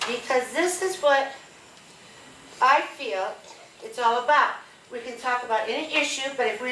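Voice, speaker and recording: A woman with an American accent uses a raised, projected voice at a high pitch with long, frequent pauses, amid noticeable background noise and audible room echo. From Northwest Iowa. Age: 70s. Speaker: retired teacher, town hall attendee. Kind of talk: public question at town hall. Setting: town hall meeting with audience.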